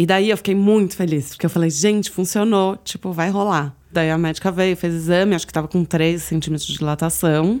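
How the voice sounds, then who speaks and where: A woman with an unremarkable speaking voice talks at a fairly low pitch. Her pace is fairly quick, with fairly even intonation and hardly any pauses. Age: 30s. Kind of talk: personal testimony. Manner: casual, many fillers.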